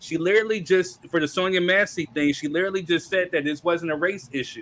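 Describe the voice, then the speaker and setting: This man talks fairly quickly in a high voice, his intonation staying fairly even. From United States. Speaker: podcast host reading viewer comments. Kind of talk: heated debate. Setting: live stream with chat.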